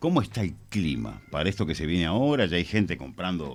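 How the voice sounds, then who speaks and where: A man talks at a fairly quick pace with a very deep, low pitch and vocal fry. His pitch swings are very wide. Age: 60s. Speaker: radio host. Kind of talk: radio interview.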